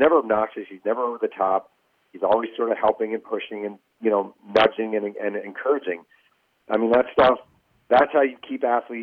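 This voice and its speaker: In an ordinary speaking voice, this speaker moves at a fairly quick pace with fairly even intonation but big swings in loudness. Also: man, medium pitch for a man. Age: 40s. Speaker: sports writer and author. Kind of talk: interview.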